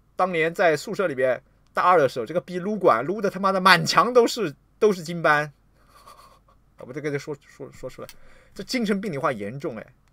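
A man's animated, lively voice, high-pitched for a man, at a fairly quick pace over a quiet background. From China. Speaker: livestreamer and political commentator; livestreamer, political commentator. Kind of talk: livestream rant. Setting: livestream. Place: home room.

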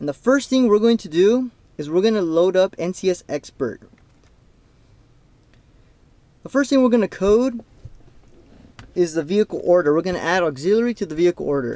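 At a moderate pace, a man with a dark, mellow tone speaks with long, frequent pauses, the sound dry with no echo. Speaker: car coding demonstrator. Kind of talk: tutorial. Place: car. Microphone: phone near.

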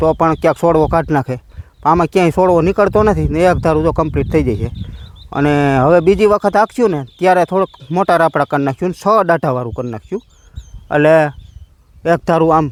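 A man speaks in a normal speaking voice at a fairly high pitch. His pitch variation is ordinary, and the sound is dry and close with no echo. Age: 40s. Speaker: farmer vlogger. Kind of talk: casual vlog narration.

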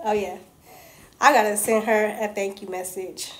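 This is a woman speaking at a fairly high pitch. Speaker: vlogger. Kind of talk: casual vlog. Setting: in a car, outdoors. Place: home room. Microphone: phone near.

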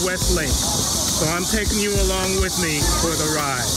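A man's voice over music in the background. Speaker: teacher, vlogger. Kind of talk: casual vlog chat. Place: street.

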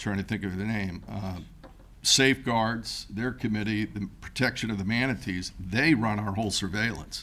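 This man talks at a moderate pace in an ordinary speaking voice with fairly low pitch. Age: 60s. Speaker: boat race event organizer. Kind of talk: public comment at council meeting. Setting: city hall chambers.

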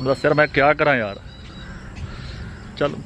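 A man talks in a plain, everyday voice, fairly high in pitch. The sound is dry with no echo, over light background noise. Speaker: farmer and vlogger. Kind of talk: casual vlog talk to camera. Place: farm machine. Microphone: phone near.

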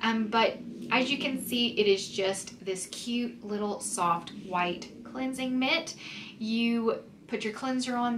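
Audible room echo surrounds a woman with a fairly high pitch and fairly bright tone. She talks at a fairly slow pace.

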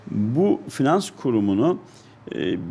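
The man's tone is dark and mellow. He speaks with lively intonation. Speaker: businessman. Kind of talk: interview. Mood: calm, explanatory. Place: office. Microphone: handheld.

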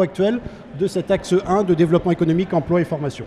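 There is light background noise as a man speaks with a high pitch. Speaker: guest. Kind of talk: interview answer. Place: hall. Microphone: handheld.

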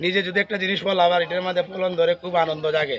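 Over light background noise, a man talks in a high-pitched voice. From Bangladesh, Habiganj (Sylhet region); Bangladesh. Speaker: farmer. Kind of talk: casual interview. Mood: proud, happy. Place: garden. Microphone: phone near.

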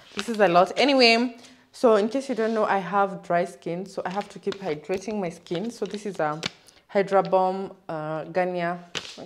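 A woman talks at a moderate pace with big swings in loudness. Light background noise can be heard. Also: ordinary pitch variation. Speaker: vlogger. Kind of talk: casual vlog chat. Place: home room. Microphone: phone near.

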